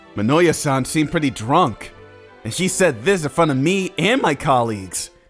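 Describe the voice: A man's put-on character voice, fairly high in pitch with big pitch swings, a fairly bright tone and a slightly husky edge, with faint music in the background. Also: moderate pace.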